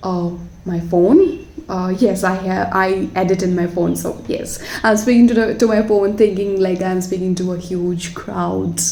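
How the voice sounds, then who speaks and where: A woman with a non-native accent speaks at a fairly slow pace. Noticeable background noise and audible room echo are heard. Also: medium pitch for a woman, fairly even intonation. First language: not English. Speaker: watercolor artist. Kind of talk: voiceover tutorial chat. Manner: halting, many fillers.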